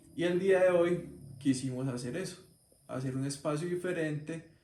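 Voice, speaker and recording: A somewhat breathy man talks at a fairly slow pace with fairly even intonation. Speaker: paranormal channel host. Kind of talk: show introduction to camera.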